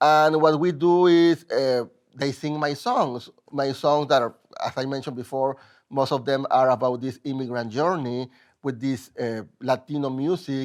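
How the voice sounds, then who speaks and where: The speaker is a man with a Mexican accent and a medium pitch. The recording is very clean, with a silent background. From Mexico. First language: Spanish. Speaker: musical theater composer. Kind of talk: interview. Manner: halting.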